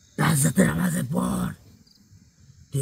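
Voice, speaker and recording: This man speaks in a put-on character voice of medium pitch at a moderate pace. His raspy delivery swings very widely in pitch. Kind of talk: staged exorcism possession performance. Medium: game stream. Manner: desperate, pleading, repetitive.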